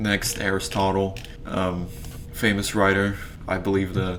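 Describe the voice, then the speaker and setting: A man's very deep, low voice at a fairly slow pace, with audible room echo. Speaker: YouTuber ranking philosophers. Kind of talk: casual commentary video. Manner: halting, many fillers.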